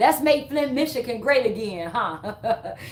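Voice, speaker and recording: Speaking in an American accent, a woman uses an animated tone and a high pitch, her voice making very wide pitch swings. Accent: Chicago accent, some hear it as Southern. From Chicago. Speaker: livestreamer and fitness trainer. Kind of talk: casual livestream chat. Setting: live stream.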